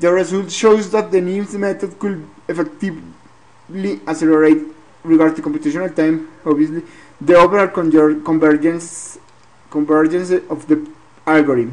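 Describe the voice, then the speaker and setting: Someone speaks with a non-native accent at a moderate pace. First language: not English. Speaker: graduate student. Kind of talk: research presentation. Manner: halting, repeats words.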